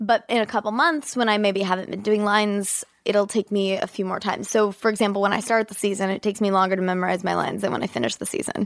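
With a slight Midwestern accent, a woman speaks at a very fast pace, with hardly any pauses. Her pitch is medium and her intonation fairly even. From Kansas City, US Midwest. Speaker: actress. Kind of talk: casual interview chat.

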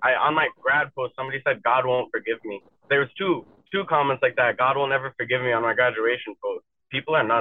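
A man speaks at a fairly quick pace with ordinary pitch variation. He has an ordinary speaking voice. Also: medium pitch for a man. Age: young. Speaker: amateur MMA fighter. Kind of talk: interview.

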